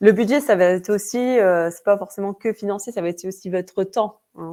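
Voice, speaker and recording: A woman in a Vosges accent speaks at a moderate pace with a dark, mellow tone, medium pitch and ordinary pitch variation. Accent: Vosges (eastern France). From Vosges, eastern France. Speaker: webinar presenter. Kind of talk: webinar presentation. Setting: online webinar. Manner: hesitant, many fillers.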